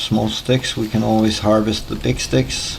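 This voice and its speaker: Noticeable background noise sits behind a speaker with a Danish accent. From Denmark. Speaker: gaming YouTuber. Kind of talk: gameplay tutorial commentary. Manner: hesitant, with filler pauses.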